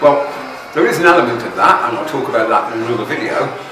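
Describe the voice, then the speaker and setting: A man speaks amid noticeable background noise, and room echo can be heard. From United Kingdom. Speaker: vlogger. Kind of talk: vlog monologue. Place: home room.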